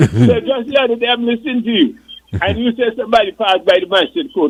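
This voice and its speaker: A man's extremely high voice with an Antiguan accent, delivered at a very fast pace. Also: ordinary pitch variation. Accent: Antiguan dialect, recognized when he talks. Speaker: retired police and coast guard officer. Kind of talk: casual radio chat. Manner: animated.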